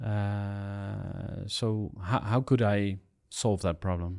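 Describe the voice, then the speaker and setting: On a very clean recording with a silent background, a man with a fairly low pitch speaks in fairly even intonation. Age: 40s. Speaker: podcast host. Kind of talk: podcast interview. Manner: halting.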